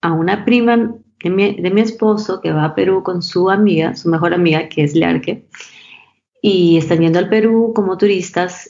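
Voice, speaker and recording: A woman with a normal speaking voice talks at a fairly slow pace with ordinary pitch variation. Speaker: fashion brand co-founder. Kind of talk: interview.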